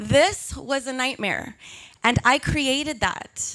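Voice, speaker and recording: In an American accent, a woman projects her high-pitched voice with a bright, sharp tone at a fairly slow pace. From Texas. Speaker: public relations specialist. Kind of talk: live talk to an audience.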